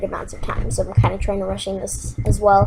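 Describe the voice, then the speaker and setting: Noticeable background noise fills the recording. Through it, a woman is talking. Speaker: gaming YouTuber. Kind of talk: gameplay commentary. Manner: hesitant, many fillers.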